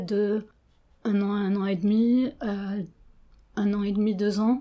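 A woman speaks very slowly in a dark, mellow tone at a medium pitch, her intonation flat and monotone. The recording is very clean, with a silent background. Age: 40s. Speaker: interviewee. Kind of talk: interview. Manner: hesitant.

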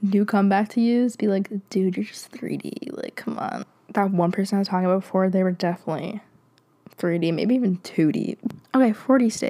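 At a fairly quick pace, a woman speaks at medium pitch with a dark, mellow tone and ordinary pitch variation.

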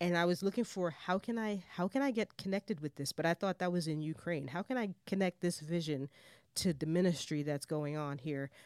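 A woman talks at a fairly quick pace in a normal speaking voice with lively intonation. The sound is dry and close with no echo, on a very clean recording with a silent background. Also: fairly low pitch for a woman. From Jamaica, raised in New York City. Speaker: missions director, former missionary. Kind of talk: interview conversation.

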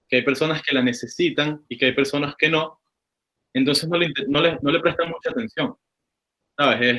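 A fairly high-pitched man with a Venezuelan accent, moderate pace, ordinary pitch variation. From Caracas, Venezuela. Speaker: cannabis grower. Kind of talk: casual chat. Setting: call.

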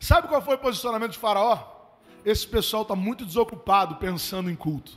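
Animated tone, lively intonation and a fairly quick pace. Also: man, high pitch for a man. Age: 30s. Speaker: pastor. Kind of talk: sermon. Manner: conversational, animated.

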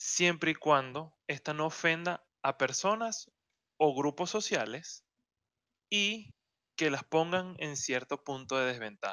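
A man with a Venezuelan accent talks with a fairly high pitch and lively intonation. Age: 20s. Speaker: podcast co-host. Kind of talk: casual chat.

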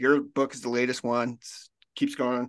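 Against a quiet background, a man with an American accent has a normal speaking voice. His pitch is medium and his pace moderate. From Kansas. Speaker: podcast host. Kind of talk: casual chat.

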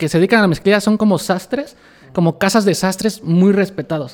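A man speaks with a high pitch. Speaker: denim designer. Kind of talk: casual interview chat.

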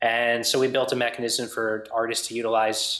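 This man's intonation is monotone and flat. His pitch stays medium. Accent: American. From US Northeast, New York tri-state area. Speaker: music venue owner. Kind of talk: casual interview chat.

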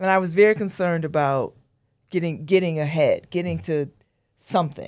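On a very clean recording with a silent background, a woman with an ordinary speaking voice talks at a fairly low pitch and a moderate pace. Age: 60s. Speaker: radio host and newspaper editor. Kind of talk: casual interview.

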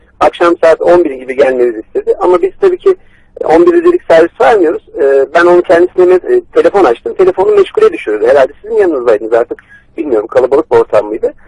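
Talking at a very fast pace, a man is recorded dry and close with no echo. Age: 30s. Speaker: computer repair technician. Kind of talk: phone call, prank victim pleading. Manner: halting.

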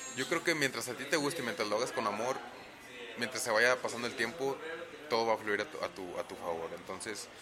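Over noticeable background noise and audible room echo, a man at medium pitch talks at a very fast pace. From Monterrey, northern Mexico. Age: 20s. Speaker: professional wrestler. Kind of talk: casual interview. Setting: in person.

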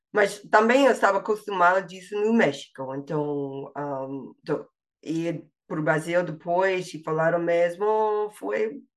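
A woman speaks at a fairly slow pace with a slight non-native accent. Her pitch is fairly low and her intonation lively. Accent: slight foreign accent in Portuguese. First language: English (speaking Portuguese). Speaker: language learner, linguistics graduate. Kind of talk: interview. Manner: halting, many fillers and repetitions.

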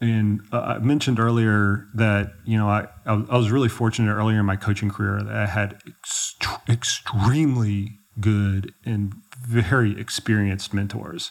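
An unremarkable speaking voice with an American accent moves at a moderate pace. The intonation stays fairly even. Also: man, fairly low pitch for a man. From Texas, Dallas. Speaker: ultrarunning coach. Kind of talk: casual interview chat. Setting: in person in Chamonix, France.

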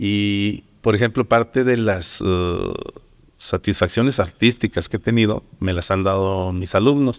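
Fairly slow, fairly even speech on a very clean recording with a silent background. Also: man, fairly low pitch for a man. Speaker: painter and art teacher. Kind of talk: interview. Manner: hesitant, many fillers.

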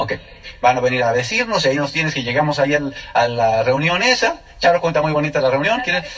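With lively intonation and a fairly high pitch, a man talks very fast as noticeable background noise carries on. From State of Mexico, Mexico. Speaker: network marketing speaker. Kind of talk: testimony.

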